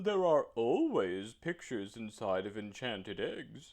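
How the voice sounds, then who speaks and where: A put-on character voice from a man, medium in pitch and fairly slow in pace. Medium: read story.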